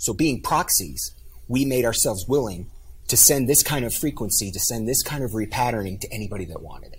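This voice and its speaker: A somewhat breathy man at medium pitch, fairly quick and lively in intonation, with big swings in loudness and audible room echo. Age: 50s. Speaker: life coach and author. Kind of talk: interview.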